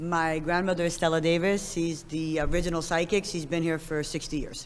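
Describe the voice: A raspy, low-pitched woman's voice at a moderate pace, with little pitch movement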